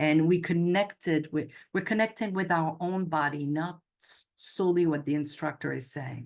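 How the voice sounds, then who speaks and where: With a French accent, a woman with a fairly low voice shows big swings in loudness and ordinary pitch variation against a quiet background. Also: moderate pace. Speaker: yoga instructor and intuitive coach. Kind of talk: casual chat.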